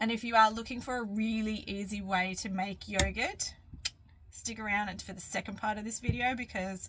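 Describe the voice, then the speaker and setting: Over noticeable background noise, a woman with an Australian accent speaks at a moderate pace and medium pitch with fairly even intonation. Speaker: cooking vlogger. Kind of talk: cooking tutorial. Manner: casual, chatty.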